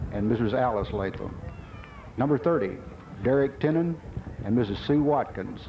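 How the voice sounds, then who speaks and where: Over light background noise, a man speaks. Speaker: stadium announcer. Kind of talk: public address announcement. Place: stadium.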